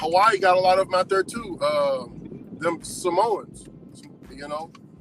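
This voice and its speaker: A man's high-pitched voice with an American accent, at a fairly slow pace, with ordinary pitch variation, big swings in loudness and noticeable background noise. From US South, the Carolinas. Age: 30s. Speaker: delivery driver and livestreamer. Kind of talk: casual chat. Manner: animated.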